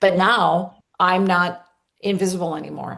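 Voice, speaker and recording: A woman speaks at a fairly low pitch in an ordinary speaking voice. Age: 60s. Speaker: coach and former company leader. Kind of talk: testimony.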